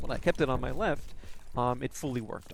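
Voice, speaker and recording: Soft-spoken, a man talks at a moderate pace. His intonation stays fairly even. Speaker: gaming YouTuber. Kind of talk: casual gameplay commentary. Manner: halting, many fillers.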